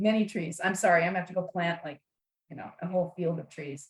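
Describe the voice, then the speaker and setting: A woman speaks very fast in a medium pitch, her voice somewhat breathy. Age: 60s. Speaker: author and networking speaker. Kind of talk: podcast interview. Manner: animated.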